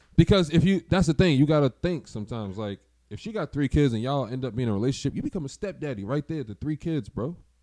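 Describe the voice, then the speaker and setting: Talking at a very fast pace with hardly any pauses, a man with an American accent has a dark, mellow tone, fairly high pitch and lively intonation, recorded dry and close with no echo. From Boston. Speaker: DJ. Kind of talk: casual chat.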